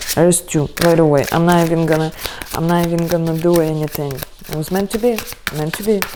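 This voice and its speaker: A woman with a non-native accent talks at a moderate pace and a fairly low pitch, with noticeable background noise behind her. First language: not English. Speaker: tarot reader. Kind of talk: tarot reading video. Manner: casual, hesitant with fillers.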